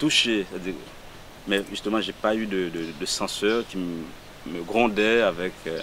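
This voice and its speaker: A man speaks at a very slow pace and a fairly low pitch. His pitch varies in an ordinary way, and there is noticeable background noise. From Haiti, Port-au-Prince. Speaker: poet. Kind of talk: interview. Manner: halting.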